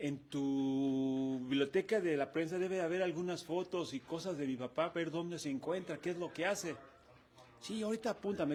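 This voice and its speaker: With a Mexican accent, a man speaks at a fairly high pitch and ordinary pitch variation. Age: 60s. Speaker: retired football goalkeeper. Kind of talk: interview.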